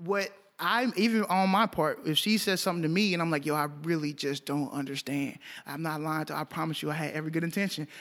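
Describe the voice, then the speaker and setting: A man with an American accent talks at a very fast pace, his fairly high voice showing ordinary pitch variation. The recording is very clean with a silent background. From Texas, Arlington. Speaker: music producer. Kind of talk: casual chat.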